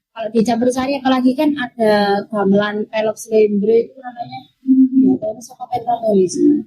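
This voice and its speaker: With music in the background, the speaker moves at a fairly quick pace with hardly any pauses and ordinary pitch variation. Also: woman. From Surabaya, East Java, Indonesia. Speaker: campursari singer. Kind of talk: casual interview chat.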